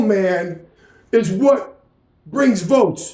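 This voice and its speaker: In an American accent, a man speaks with a dark, mellow tone and lively intonation amid audible room echo. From New York. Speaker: political commentary vlogger. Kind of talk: political rant monologue. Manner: animated.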